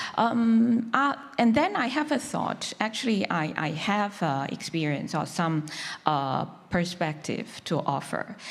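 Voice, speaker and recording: With a Chinese accent, a woman of medium pitch speaks at a fairly slow pace, her voice swinging very widely, amid audible room echo. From China. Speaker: conference panelist on humanitarian work. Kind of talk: panel discussion talk. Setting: conference stage with audience. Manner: halting, many fillers.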